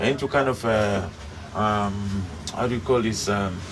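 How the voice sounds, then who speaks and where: Over noticeable background noise, a man at a medium pitch speaks at a fairly slow pace. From Africa. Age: 60s. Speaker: devotee and former musician. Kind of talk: interview. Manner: halting.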